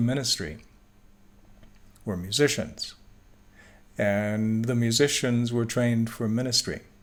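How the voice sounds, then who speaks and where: In a room with audible echo, a man talks fairly slowly at a medium pitch with ordinary pitch variation. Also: long, frequent pauses. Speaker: Bible teacher. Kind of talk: lecture.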